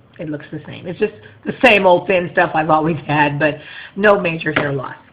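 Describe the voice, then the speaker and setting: Over noticeable background noise, a woman speaks in an animated tone with ordinary pitch variation. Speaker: vlogger sharing weight-loss surgery journey. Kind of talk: casual video diary. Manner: fast.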